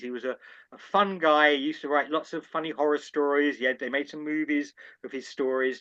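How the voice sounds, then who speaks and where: A man speaks with a London accent at a fairly high pitch. His pace is moderate. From London, England. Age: 70s. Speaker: anthologist and editor. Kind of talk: interview conversation.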